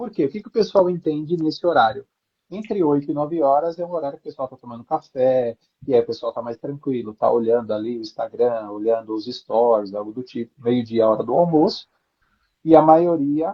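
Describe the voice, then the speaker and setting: With a plain, everyday voice, a man speaks at a fairly quick pace with fairly high pitch and big swings in loudness. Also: lively intonation. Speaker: branding and positioning specialist. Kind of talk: live stream interview.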